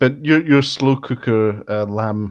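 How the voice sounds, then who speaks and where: A man with a Scottish accent speaks in a fairly low voice. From Scotland. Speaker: podcast host. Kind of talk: casual chat.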